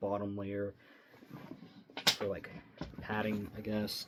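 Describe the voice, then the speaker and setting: Noticeable background noise sits under a man's fairly slow speech. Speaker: airsoft vlogger. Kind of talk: casual vlog. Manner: rambling, hesitant.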